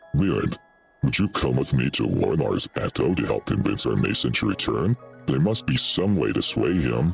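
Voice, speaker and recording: Over faint music in the background, a man puts on a character voice with a very deep, low pitch. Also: moderate pace. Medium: game stream. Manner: formal, old-fashioned phrasing.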